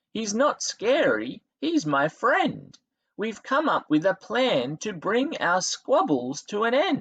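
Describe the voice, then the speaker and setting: A man speaks fairly slowly in a high-pitched, put-on character voice with a gentle tone. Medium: read story. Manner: gentle, friendly.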